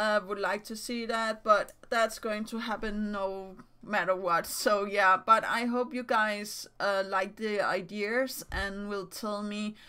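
At a fairly slow pace, a woman with a Danish accent speaks in a bright, sharp tone at medium pitch. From Denmark. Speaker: YouTuber and digital artist. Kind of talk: casual vlog talk to camera. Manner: halting, many fillers.

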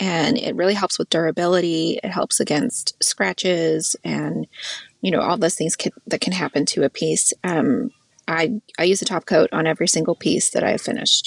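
Recorded in a dry, close sound with no echo, a woman speaks at a moderate pace with an American accent. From Idaho. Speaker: furniture refinisher. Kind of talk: casual interview.

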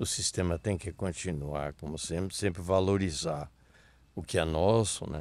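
A man's very deep, low voice at a fairly slow pace with ordinary pitch variation, on a very clean recording with a silent background. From Brazil, Rio Grande do Sul (Missões region). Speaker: town pioneer and local politician. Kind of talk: casual interview.

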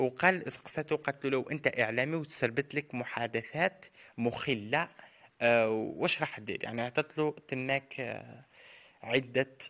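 Here a man with an Algerian accent speaks at a medium pitch in a bright, sharp tone. His pace is fairly slow, his pitch variation ordinary, and the sound dry and close with no echo. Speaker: celebrity news youtuber. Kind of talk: scripted narration.

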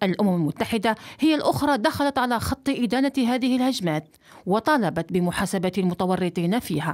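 Keeping her loudness very even, a woman with a medium pitch talks at a moderate pace through very wide pitch swings. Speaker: news reporter. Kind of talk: news report narration. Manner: formal.

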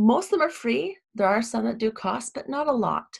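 A quiet setting and a moderate pace. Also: woman. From Ontario, Canada. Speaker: web design business owner. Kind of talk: tutorial. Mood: enthusiastic, friendly. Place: home room.

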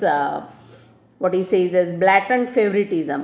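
Lively intonation runs through this woman's speech. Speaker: teacher. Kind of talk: lecture explaining a text. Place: home room.

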